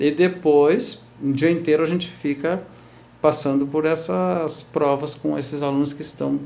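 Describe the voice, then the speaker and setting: A man's fairly high voice at a moderate pace. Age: 60s. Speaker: actor and theatre teacher. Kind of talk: TV interview. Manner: halting, many repetitions and fillers.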